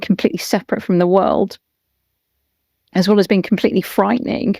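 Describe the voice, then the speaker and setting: A woman at a medium pitch, in a plain, everyday voice with fairly even intonation. The sound is dry and close, with no echo. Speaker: podcast host and therapist. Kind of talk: interview questions.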